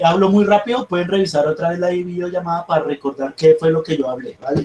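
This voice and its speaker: This man has a high pitch and ordinary pitch variation, and he talks at a fairly quick pace. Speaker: math teacher. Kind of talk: online class lecture. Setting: video call. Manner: fast; halting, repeats words.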